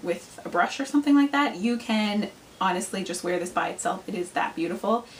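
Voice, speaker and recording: A woman's fairly high-pitched voice with lively intonation, over noticeable background noise. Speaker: beauty vlogger. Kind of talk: product review vlog. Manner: fast; animated.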